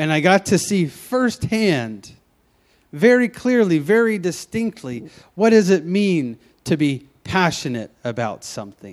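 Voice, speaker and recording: Speaking with a Southern US accent, a man uses a high pitch with very wide pitch swings. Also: fairly slow pace, quiet background. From US South, Memphis, Tennessee. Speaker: pastor. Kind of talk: sermon. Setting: church. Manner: halting.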